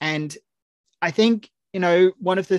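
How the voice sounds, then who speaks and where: The sound is dry and close with no echo as a man with a high pitch speaks with ordinary pitch variation. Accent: Australian. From Australia. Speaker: film writer. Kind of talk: casual chat.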